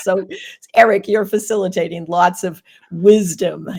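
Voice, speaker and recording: A woman is speaking. She has a Boston accent. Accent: Boston accent, kept deliberately. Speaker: occupational therapist, Reiki teacher and speaker. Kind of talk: podcast interview.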